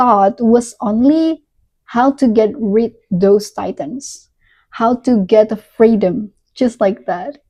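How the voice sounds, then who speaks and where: Speaking very slowly in an Indonesian accent, a woman has a dark, mellow tone. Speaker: book reviewer. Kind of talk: casual review monologue. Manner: halting, with frequent restarts.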